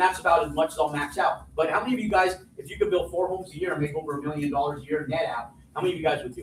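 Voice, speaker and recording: A man speaks over noticeable background noise. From New Mexico. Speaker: real estate developer and teacher. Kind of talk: live seminar talk. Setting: stage with audience. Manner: loud; animated.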